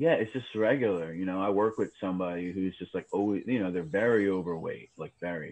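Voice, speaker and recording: Speaking with a New York accent, a man keeps up a fairly quick pace. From New York City, Queens. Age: 30s. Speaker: cemetery superintendent. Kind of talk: casual chat.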